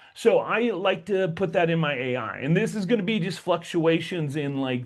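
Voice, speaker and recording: A man talks in an animated tone with lively intonation. His pitch is fairly high. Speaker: tech tutorial YouTuber. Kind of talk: tutorial.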